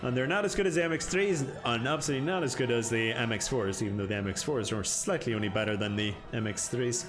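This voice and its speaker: A man at a very fast pace with very wide pitch swings, audible room echo, and music in the background. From Northern Ireland. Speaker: video game streamer. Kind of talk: live gameplay stream chat. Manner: casual, chatty.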